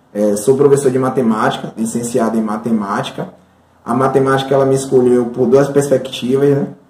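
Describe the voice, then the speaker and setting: Noticeable background noise runs under this recording. A man speaks at a medium pitch and a fairly quick pace. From Bahia, Brazil (Santo Amaro). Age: 20s. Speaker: mathematics teacher. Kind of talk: interview testimony. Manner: halting, many fillers.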